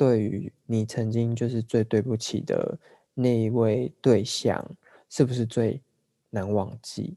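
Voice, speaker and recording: Very slow and fairly even in intonation, a man speaks with a dark, mellow tone. The sound is dry and close with no echo. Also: medium pitch for a man. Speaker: podcast co-host. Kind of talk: casual chat.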